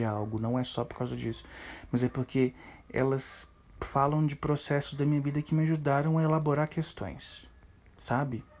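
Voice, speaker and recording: At a moderate pace, a man with a dark, mellow tone speaks at a medium pitch with fairly even intonation, recorded very cleanly against a silent background. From Minas Gerais, Brazil. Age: 30s. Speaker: podcast host, film enthusiast. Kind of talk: solo podcast monologue.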